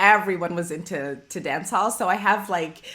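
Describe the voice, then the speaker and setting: A woman with a Canadian accent talks in a normal speaking voice. Her pace is moderate and her intonation lively. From Toronto, Canada. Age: 40s. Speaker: podcast host. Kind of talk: podcast interview.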